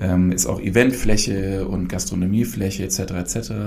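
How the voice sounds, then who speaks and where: Audible room echo follows a man as he talks at a very slow pace. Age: 40s. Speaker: brewery founder and managing director. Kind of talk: casual interview. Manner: many filler sounds.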